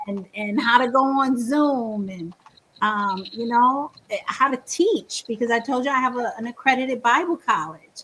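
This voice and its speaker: Bright and sharp in tone, the voice moves at a moderate pace with lively intonation. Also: woman, high pitch for a woman. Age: 60s. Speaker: Bible college teacher. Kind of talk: interview.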